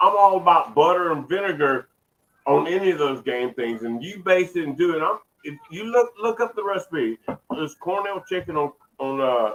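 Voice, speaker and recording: This man talks at a moderate pace in a Southern Louisiana accent, his high voice carrying lively intonation and big swings in loudness. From Southwest Louisiana. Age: 50s. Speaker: barbecue chef. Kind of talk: casual chat.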